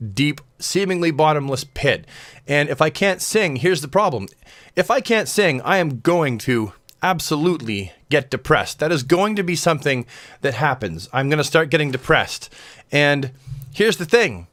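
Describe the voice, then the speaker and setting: On a very clean recording with a silent background, a man with vocal fry speaks at a moderate pace, his fairly high voice full of lively intonation. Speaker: vlogger. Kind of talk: casual talk to camera, video diary. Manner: speaks with slightly raised pitch for camera.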